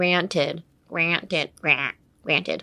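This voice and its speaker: A woman puts on a guttural character voice. Her pitch is fairly low. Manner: demonstrating a vocal technique.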